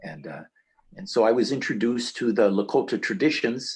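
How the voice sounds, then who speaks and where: A man talks with a medium pitch, neither fast nor slow. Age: 60s. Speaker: Sun Dance intercessor in Lakota tradition. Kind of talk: interview. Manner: halting, many fillers.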